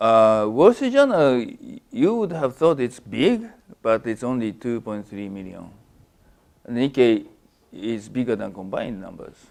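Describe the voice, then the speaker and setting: A man with a Japanese accent and big swings in loudness. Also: fairly slow pace. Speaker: finance professor. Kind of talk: academic seminar talk. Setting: lunch seminar with student audience. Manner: halting, many fillers and restarts.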